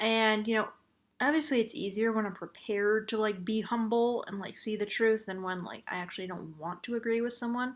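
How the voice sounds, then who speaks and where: Soft-spoken and fairly high in pitch, a woman talks at a fairly quick pace with ordinary pitch variation, in a very clean recording with a silent background. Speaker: vlogger. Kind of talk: casual vlog monologue.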